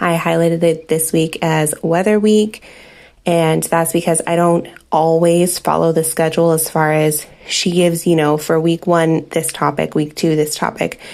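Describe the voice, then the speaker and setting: Loudness stays very even as the speech moves at a moderate pace in a monotone, flat intonation. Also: woman, fairly low pitch for a woman. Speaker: homeschooling mom and vlogger. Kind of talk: casual tutorial.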